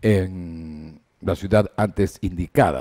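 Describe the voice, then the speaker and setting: Against a quiet background, a man speaks with a dark, mellow tone at a fairly low pitch. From Ecuador. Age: 70s. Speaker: sports broadcaster; sports journalist guest. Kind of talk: interview. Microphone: headset.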